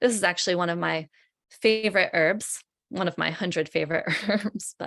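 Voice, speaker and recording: An ordinary speaking voice from a woman, medium in pitch, at a moderate pace with ordinary pitch variation and a dry, close sound with no echo. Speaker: herbalist and educator. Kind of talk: webinar presentation.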